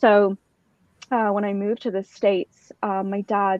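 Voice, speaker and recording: A woman's medium-pitched voice with monotone, flat intonation. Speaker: motorsport organization founder. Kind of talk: podcast interview.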